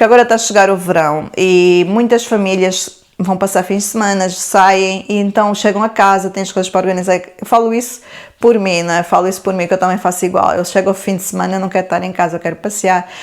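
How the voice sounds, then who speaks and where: Flat and monotone in intonation, a woman speaks at a fairly quick pace. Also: medium pitch for a woman. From Portugal, Lisbon area (born in Angola). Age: 40s. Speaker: YouTuber. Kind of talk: Q&A vlog.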